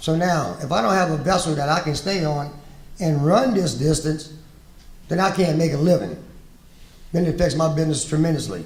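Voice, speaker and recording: Audible room echo surrounds a man speaking at a moderate pace in a fairly high voice with ordinary pitch variation. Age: 60s. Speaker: shrimp fisherman, task force representative. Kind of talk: panel discussion. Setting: conference panel with audience. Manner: impassioned.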